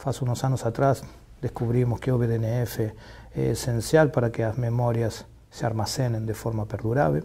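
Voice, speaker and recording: A man is speaking. His pace is fairly slow. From Argentina, Buenos Aires. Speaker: neuroscience professor. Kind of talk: interview. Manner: mixes Spanish and Portuguese, halting. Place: studio. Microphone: lapel.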